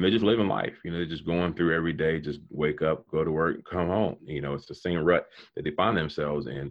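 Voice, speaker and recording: This man's pitch is very deep and low, with ordinary variation. He speaks at a very fast pace. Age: 40s. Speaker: business coach and motivational speaker. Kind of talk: casual interview.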